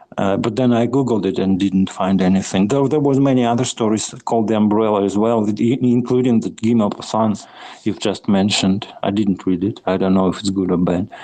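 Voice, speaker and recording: A man with a fairly low pitch and a non-native accent, fairly quick pace with hardly any pauses, fairly even intonation and very even loudness. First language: not English. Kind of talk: casual chat. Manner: halting, searching for words.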